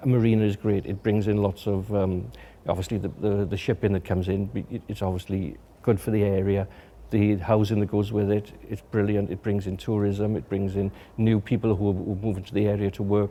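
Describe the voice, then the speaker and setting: At a fairly quick pace, a man with a South Wales accent talks in a fairly low, dark, mellow voice with monotone, flat intonation. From Wales, Swansea. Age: 60s. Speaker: documentary photographer. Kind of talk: documentary interview. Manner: halting, many repetitions.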